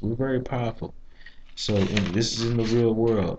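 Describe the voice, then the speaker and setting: A soft-spoken man's fairly low, dark, mellow voice in a flat monotone. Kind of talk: monologue video review with preaching. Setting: library. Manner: halting, many fillers and repeats. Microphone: too quiet.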